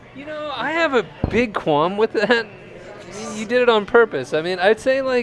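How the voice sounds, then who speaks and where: A man at an extremely high pitch, moderate pace, lively intonation and big swings in loudness, over noticeable background noise. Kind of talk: casual chat.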